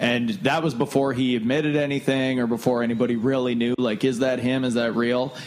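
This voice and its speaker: With a slight northern Ontario accent, a man talks at a fairly quick pace with hardly any pauses and very even loudness, over noticeable background noise. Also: medium pitch for a man, fairly even intonation. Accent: Canadian, slight northern Ontario. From Thunder Bay, Canada. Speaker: podcast host. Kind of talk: casual chat.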